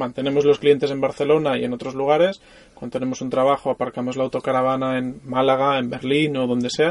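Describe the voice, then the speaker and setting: Delivering his words at a very fast pace, a man speaks at a medium pitch with a monotone, flat intonation. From Mallorca, Spain. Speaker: photographer. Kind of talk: casual interview. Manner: halting, with repetitions.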